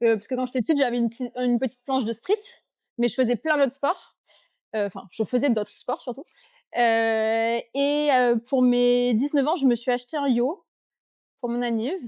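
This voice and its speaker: Recorded very cleanly with a silent background, a woman speaks at a high pitch with ordinary pitch variation and long, frequent pauses. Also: moderate pace. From southern France, Avignon. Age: 20s. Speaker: surfskater. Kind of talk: casual interview.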